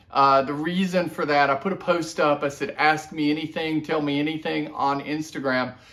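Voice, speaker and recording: Noticeable background noise accompanies a man with a fairly high pitch. His intonation stays fairly even. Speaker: watch reviewer. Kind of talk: casual video review. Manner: loud. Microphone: camera mic, far away.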